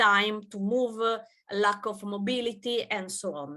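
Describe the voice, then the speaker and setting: A bright, sharp tone with an Italian accent and ordinary pitch variation. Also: woman. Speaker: gender researcher. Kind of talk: conference presentation. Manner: halting, many fillers.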